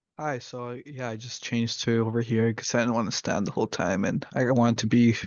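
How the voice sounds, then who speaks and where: The man's voice sits at a medium pitch. His intonation stays flat and monotone. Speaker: student. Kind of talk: class assignment presentation. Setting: at home, self-recorded video. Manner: halting; casual.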